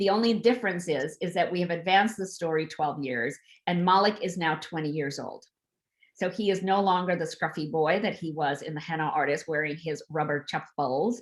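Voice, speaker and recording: With a plain, everyday voice, a woman speaks at a fairly quick pace and a fairly low pitch on a very clean recording with a silent background. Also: ordinary pitch variation. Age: 60s. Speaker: author. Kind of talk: author talk on video event.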